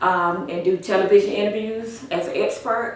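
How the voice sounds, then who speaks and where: With an American accent, a woman talks with ordinary pitch variation amid audible room echo and noticeable background noise. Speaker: author and corrections trainer. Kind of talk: interview.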